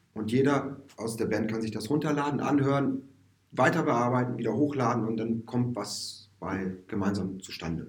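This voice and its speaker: A man at medium pitch with ordinary pitch variation and a moderate pace, plus audible room echo. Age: 40s. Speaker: musician and music teacher. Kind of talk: casual interview. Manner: hesitant, many fillers.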